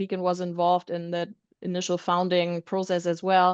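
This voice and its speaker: A woman with a German accent and a medium pitch, at a fairly quick pace, in a dry, close sound with no echo against a quiet background. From Germany. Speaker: roofing supply executive. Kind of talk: panel discussion. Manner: many filler ums.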